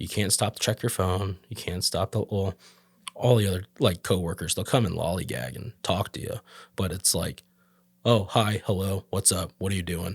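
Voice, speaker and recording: On a very clean recording with a silent background and a dry, close sound with no echo, a somewhat breathy man with a very deep, low pitch speaks at a moderate pace with ordinary pitch variation. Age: 30s. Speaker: tattoo artist. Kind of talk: casual chat.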